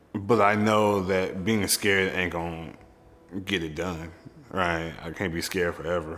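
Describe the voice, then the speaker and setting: In an American accent, a man with a very deep, low pitch talks at a fairly slow pace with fairly even intonation and audible room echo. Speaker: community activist. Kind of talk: documentary interview.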